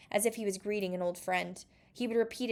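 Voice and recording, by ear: A passage is read aloud in a natural voice.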